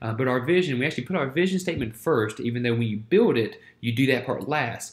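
Speaking at a very fast pace, a man with an American accent keeps a medium pitch. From US South, Winston-Salem, North Carolina; North Carolina. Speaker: church planter and ministry teacher; ministry teacher. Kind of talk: lecture. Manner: halting, many fillers. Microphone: webcam.

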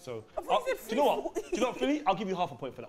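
With noticeable background noise, a man speaks at a very fast pace with big swings in loudness. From Africa. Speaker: quiz host, former teacher. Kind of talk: playful, classroom-style quizzing. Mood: jokey, teasing. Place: studio.

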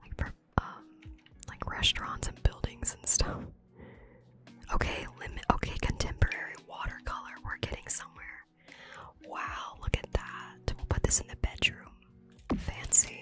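A woman whispers at a moderate pace, with long, frequent pauses and big swings in loudness. Faint music plays in the background. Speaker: ASMR content creator and gamer; ASMR content creator, gamer. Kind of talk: casual gameplay commentary to camera. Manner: whispered, close-up. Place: home room.

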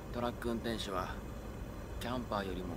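Loud background noise runs under the voice of a man. He speaks at a moderate pace. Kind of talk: casual vlog chat. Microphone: phone near.

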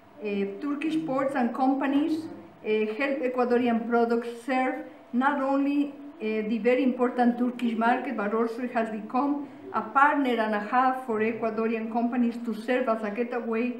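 A high-pitched woman's voice at a moderate pace, fairly even in intonation, with audible room echo and light background noise. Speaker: speaker. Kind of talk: formal speech. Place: meeting room. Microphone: podium.

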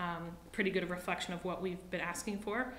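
Light background noise and audible room echo accompany a woman speaking with fairly even intonation. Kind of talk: meeting report. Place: meeting room. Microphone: podium.

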